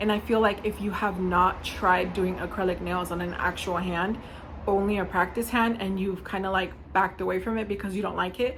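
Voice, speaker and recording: Audible room echo surrounds a woman's voice. She talks at a fairly quick pace with monotone, flat intonation. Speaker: nail art YouTuber. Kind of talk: casual vlog talk. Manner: fast; chatty.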